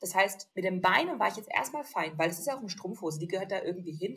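A woman speaks at a very fast pace with an animated tone and a medium pitch. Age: young. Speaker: lipedema influencer and compression wear model. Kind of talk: casual chat.

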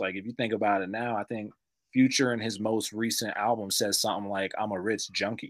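On a very clean recording with a silent background, a man with an American accent uses an ordinary speaking voice at medium pitch, speaking at a moderate pace in fairly even intonation. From US, Tulsa, Oklahoma. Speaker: rapper. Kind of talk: casual chat.

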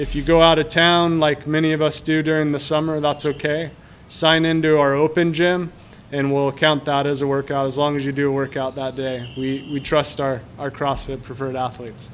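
This man's voice sits fairly high in pitch, moving at a moderate pace. His intonation stays monotone and flat. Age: 40s. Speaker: gym owner and podcast host. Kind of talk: casual solo podcast monologue. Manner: hesitant, many fillers and repeated words.

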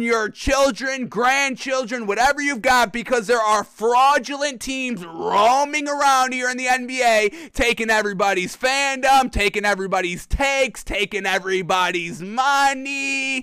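At a fairly slow pace and with hardly any pauses, a raised, projected voice delivers an animated tone that is bright and sharp, with ordinary pitch variation. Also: man. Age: 20s. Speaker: sports podcast host. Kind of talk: live-streamed sports talk show. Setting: live stream studio.

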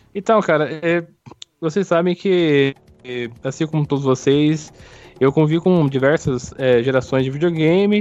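At a fairly slow pace with long, frequent pauses, a man speaks at a fairly high pitch. His loudness stays very even, and his pitch varies in an ordinary way. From Brazil, São Paulo state interior. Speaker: podcast co-host. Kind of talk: casual chat. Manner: halting.

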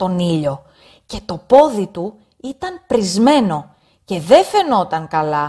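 A woman speaks at a very slow pace, her pitch swinging very widely. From Greece. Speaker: story narrator for language learners. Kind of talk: reading aloud.

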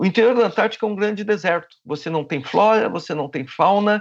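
A man speaks over a quiet background. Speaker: glaciology professor. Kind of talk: interview.

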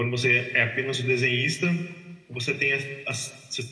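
A man is heard amid noticeable background noise and audible room echo. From Brazil, interior of São Paulo state. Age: 30s. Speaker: comic book artist. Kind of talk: interview.

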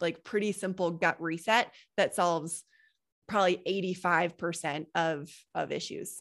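Delivered at a moderate pace in a monotone, flat way, the speech sits on a very clean recording with a silent background. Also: woman. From Colorado, US. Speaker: health and business coach. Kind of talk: interview.

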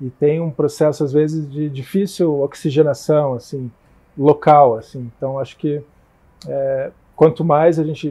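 A man speaks at a very slow pace, his pitch fairly high and his tone dark and mellow. The voice is somewhat breathy. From Curitiba, southern Brazil. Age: 40s. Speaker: politician. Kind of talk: casual interview.

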